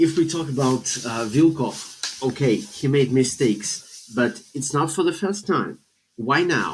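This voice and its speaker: Fairly high-pitched male speech at a fairly slow pace, with ordinary pitch variation. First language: Russian. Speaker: football journalist. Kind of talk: casual podcast discussion. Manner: halting, many hesitations.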